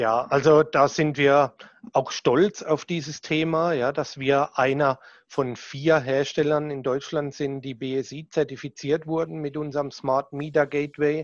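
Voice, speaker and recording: Fairly high male voice in a strong southern German accent, monotone and flat, against a quiet background. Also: fairly slow pace. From southern Germany. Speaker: sales manager. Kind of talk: casual interview chat.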